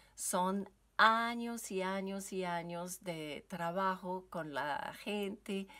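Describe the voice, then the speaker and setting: On a very clean recording with a silent background, a woman with a French Canadian accent speaks at a very slow pace in a bright, sharp tone, with medium pitch and ordinary pitch variation. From French Canada. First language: French (speaking Spanish). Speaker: yoga teacher and wellness coach. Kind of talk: recorded seminar talk. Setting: basement at home. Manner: halting, with many fillers.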